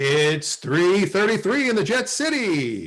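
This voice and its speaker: Using a put-on character voice, a man speaks at a high pitch with very wide pitch swings. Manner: loud, shouting.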